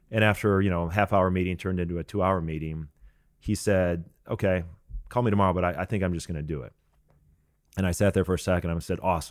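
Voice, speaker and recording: Speaking very fast yet with long, frequent pauses, a man with an American accent uses a very deep, low pitch and fairly even intonation. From Iowa, US Midwest. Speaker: real estate investor. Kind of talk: interview.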